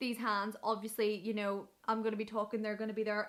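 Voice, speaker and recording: Speaking very fast, a woman with a Northern Irish accent and a fairly high voice is heard over noticeable background noise. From Northern Ireland. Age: 20s. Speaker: radio presenter. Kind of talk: casual vlog advice. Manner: animated.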